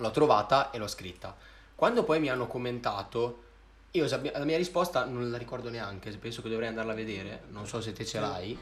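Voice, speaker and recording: The voice has ordinary pitch variation, and audible room echo can be heard. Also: man, medium pitch for a man, fairly quick pace. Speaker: singer and rapper. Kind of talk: casual chat. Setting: live stream. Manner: talkative.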